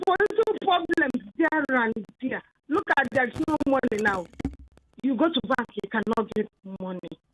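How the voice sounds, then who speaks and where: A woman speaks fairly slowly at a high pitch with very wide pitch swings, her sound dry and close with no echo. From Nigeria. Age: 60s. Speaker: caller. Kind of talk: phone-in call. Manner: animated.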